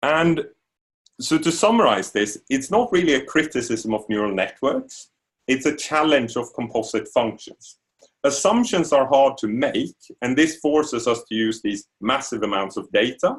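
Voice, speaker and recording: With a Swedish accent, a man speaks at a moderate pace in a fairly high pitch with very wide pitch swings. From Sweden. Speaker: university lecturer. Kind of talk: lecture.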